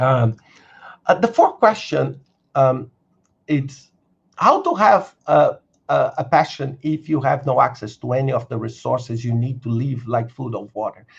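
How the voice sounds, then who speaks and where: A man with a Brazilian accent talks at a fairly slow pace. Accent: non-native English, Brazilian. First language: Brazilian Portuguese. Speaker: career coach and video creator. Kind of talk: live stream Q&A. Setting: live stream. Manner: halting, many fillers and repetitions.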